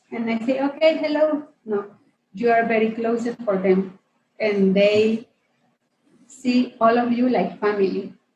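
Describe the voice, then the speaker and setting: A woman's fairly high, somewhat breathy voice with a Guatemalan accent, ordinary pitch variation, a fairly slow pace and long, frequent pauses. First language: Spanish. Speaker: women's ministry leader. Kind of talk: interview. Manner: halting.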